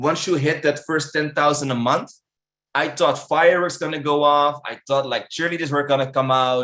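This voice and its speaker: A man with a Dutch accent speaks at a moderate pace in a fairly high pitch. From Netherlands. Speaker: online marketing instructor. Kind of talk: webinar presentation. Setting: virtual live event.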